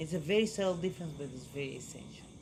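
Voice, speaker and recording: Somewhat breathy, a man talks at a fairly quick pace with ordinary pitch variation and audible room echo. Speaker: relationship coach. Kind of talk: workshop talk.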